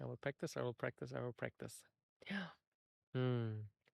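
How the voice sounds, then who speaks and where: A man with a German accent at a fairly quick pace, in a dry, close sound with no echo. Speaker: podcast host. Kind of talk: solo podcast monologue. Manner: halting, searching for words.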